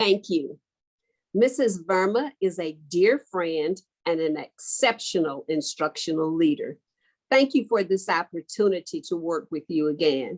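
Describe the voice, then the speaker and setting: Recorded dry and close with no echo, a woman with a Texan accent speaks with lively intonation. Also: medium pitch for a woman, fairly slow pace. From Texas. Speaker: educator. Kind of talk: conference presentation.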